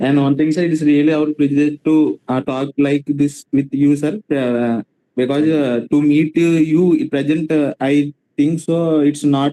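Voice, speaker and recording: Fairly high for a man yet dark and mellow in tone, this man's voice stays monotone and flat at a moderate pace with very even loudness, in a dry, close sound with no echo. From India, Telugu-speaking region. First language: Telugu. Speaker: student. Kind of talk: audience question. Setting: video call. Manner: halting.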